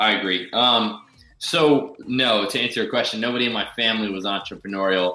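Noticeable background noise sits behind a man talking at a fairly quick pace and a medium pitch with ordinary pitch variation. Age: 30s. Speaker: self-help author and entrepreneur. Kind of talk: interview.

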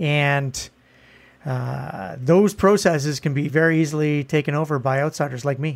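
This man has a normal speaking voice with a fairly high pitch. His intonation is fairly even. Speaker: political strategist, podcast co-host. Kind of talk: casual banter, joking political commentary.

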